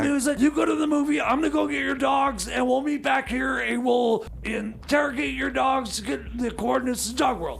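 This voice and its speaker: A man shouting in a put-on character voice at a fairly quick pace, with clear background noise. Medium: comedy sketch. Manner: halting, filler-heavy.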